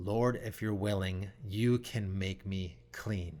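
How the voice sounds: A man puts on a growling, guttural character voice at a fairly low pitch. He goes very slowly, with fairly even intonation.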